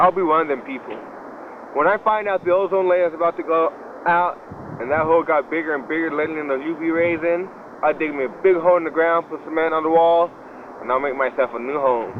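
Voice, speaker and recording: Fairly high male speech, fairly quick in tempo, over noticeable noise in the background. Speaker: public access TV show host. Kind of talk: casual monologue to camera. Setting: outdoors at a shopping complex. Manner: halting, many fillers and repeats.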